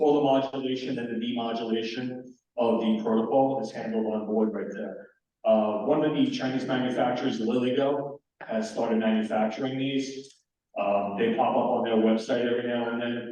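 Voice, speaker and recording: There's audible room echo as a man speaks at a medium pitch with fairly even intonation. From New York. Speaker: amateur radio presenter. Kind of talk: technical presentation. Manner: fast.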